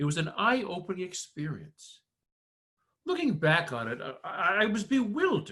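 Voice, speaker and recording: A man with an American accent, bright and sharp in tone, at a moderate pace, with very wide pitch swings. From US Northeast, Connecticut (Windham County). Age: 60s. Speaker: performer of own monologue, army veteran. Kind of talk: spoken-word performance. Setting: video call.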